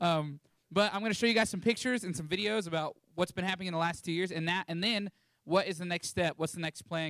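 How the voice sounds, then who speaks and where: With a Texan accent, a man talks very fast in an animated tone, high-pitched with ordinary pitch variation, in a dry, close sound with no echo. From Texas Panhandle (Canyon). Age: 20s. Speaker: missionary. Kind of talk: church talk with slides. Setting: church.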